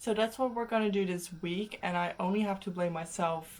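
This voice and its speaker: The pace is moderate. A woman speaks with fairly even intonation. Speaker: vlogger, language learner. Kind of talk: casual vlog talk. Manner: loud.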